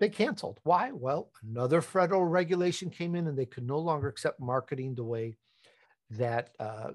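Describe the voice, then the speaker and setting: Over a quiet background, a man with a fairly high, somewhat breathy voice talks at a fairly quick pace with lively intonation. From Chicago, raised by Italian immigrant family. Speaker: podcast host and entrepreneur. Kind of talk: interview conversation.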